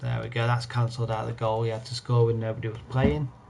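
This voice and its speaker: Quiet and fairly quick, a man talks at a medium pitch with fairly even intonation over noticeable background noise. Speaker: gaming streamer. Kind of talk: live gameplay commentary. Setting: home live stream at night. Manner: quiet, holding voice down.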